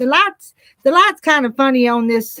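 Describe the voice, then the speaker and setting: A woman speaks at a high pitch with an American accent and lively intonation. Her fairly slow speech has a dry, close sound with no echo. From US South, Arkansas Ozarks. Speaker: farm vlogger. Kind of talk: casual vlog while working. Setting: outdoors. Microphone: laptop.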